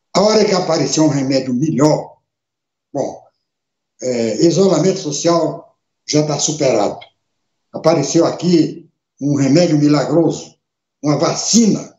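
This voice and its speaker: A man with a fairly high pitch talks at a fairly slow pace with ordinary pitch variation and long, frequent pauses, in a room with audible echo. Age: 70s. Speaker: radio and internet show host, former politician. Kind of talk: live webcast monologue. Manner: emphatic, repetitive.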